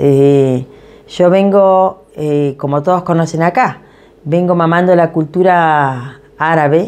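A woman with an Argentine accent, very deep and low in pitch, with lively intonation at a fairly slow pace. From Patagonia, Argentina (Esquel and Tecka); Patagonia, Argentina. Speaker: community association president. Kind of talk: interview testimony. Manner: hesitant, many fillers. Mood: warm, reflective. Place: kitchen.

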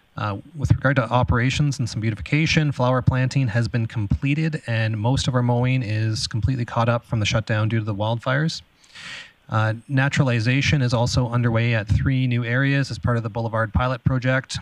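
Fairly even intonation at a fairly quick pace, against a quiet background with a dry sound and no echo. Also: man. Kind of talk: formal report to committee. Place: meeting room. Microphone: podium.

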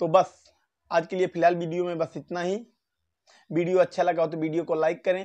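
A man speaks at a moderate pace in a high pitch. His intonation stays monotone and flat against a quiet background. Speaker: YouTube commentator. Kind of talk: casual vlog commentary. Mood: joking, mocking. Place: home room. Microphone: lapel.

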